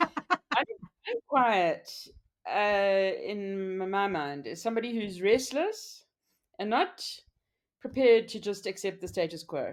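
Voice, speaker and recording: With a medium pitch, a woman speaks at a very slow pace, her intonation lively, her loudness swinging widely and her speech broken by long, frequent pauses. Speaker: business owner. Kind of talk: interview.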